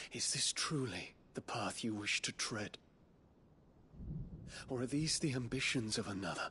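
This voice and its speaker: Using a put-on character voice at medium pitch, a man speaks at a moderate pace with very even loudness and long, frequent pauses, with clear background noise behind him. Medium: video game. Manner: earnest, formal.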